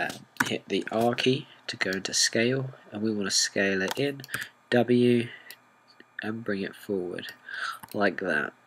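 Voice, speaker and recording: Ordinary pitch variation marks the speech of a man with a British accent. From Britain. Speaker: software tutorial maker. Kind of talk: tutorial.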